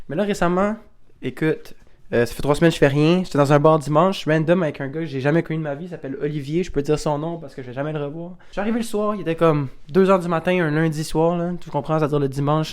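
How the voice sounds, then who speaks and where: A man with a Quebec accent talks at a very fast pace in an animated tone. His loudness swings widely. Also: fairly high pitch for a man, ordinary pitch variation. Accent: Québécois French. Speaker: YouTuber. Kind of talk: casual vlog monologue.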